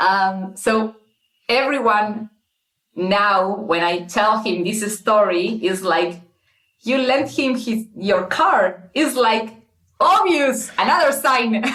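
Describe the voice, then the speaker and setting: In a Spanish accent, a woman speaks very slowly at a fairly high pitch with lively intonation. Audible room echo surrounds her voice. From Argentina. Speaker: guest telling her dating story. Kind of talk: casual interview, personal story. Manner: halting, many fillers and repeats.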